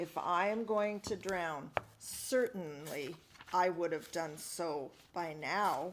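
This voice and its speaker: A woman's put-on character voice, fairly low in pitch and very slow. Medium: read story.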